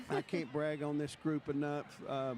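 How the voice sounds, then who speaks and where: The speaker talks at a moderate pace with a Texan accent. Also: man. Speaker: parade commentator. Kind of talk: live commentary.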